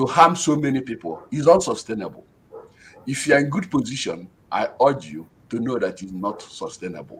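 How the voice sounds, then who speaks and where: A man with a Nigerian accent and very wide pitch swings. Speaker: professor. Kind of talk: panel discussion.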